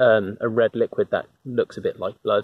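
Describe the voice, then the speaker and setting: A man at a fairly slow pace, with a dry sound and no echo. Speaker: nature walk guide. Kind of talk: casual nature walk commentary. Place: forest. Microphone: phone near.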